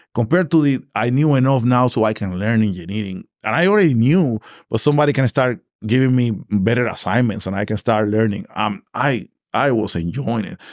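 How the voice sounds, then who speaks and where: On a very clean recording with a silent background, a man with a Puerto Rican accent talks at a fairly quick pace in a medium pitch with lively intonation. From Puerto Rico (Naranjito). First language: Spanish. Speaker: engineering director. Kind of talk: interview conversation. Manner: animated.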